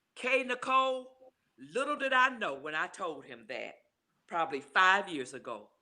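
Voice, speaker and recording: A woman speaks at medium pitch and a moderate pace, with very wide pitch swings and big swings in loudness. Her tone is bright and sharp, with vocal fry. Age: 70s. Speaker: grandmother speaking on suicide loss. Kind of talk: interview testimony.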